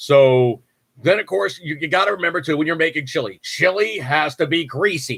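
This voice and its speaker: In a very clean recording with a silent background, a man with an American accent speaks at a moderate pace, his fairly high pitch carrying lively intonation. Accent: New York accent, creeps in at times. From New York. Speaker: podcast host. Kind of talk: casual chat. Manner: casual, filler-heavy.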